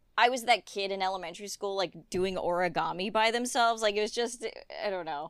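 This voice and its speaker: A woman speaks at a medium pitch with ordinary pitch variation and an animated tone. The recording is very clean, with a silent background. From England, moved to US at six. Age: 30s. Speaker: animation character designer and art director. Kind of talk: casual chat.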